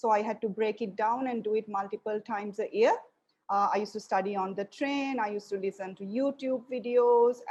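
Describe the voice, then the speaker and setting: A woman's fairly high voice at a fairly quick pace, with fairly even intonation. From Sri Lanka. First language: Sinhalese. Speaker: lecturer. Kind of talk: lecture.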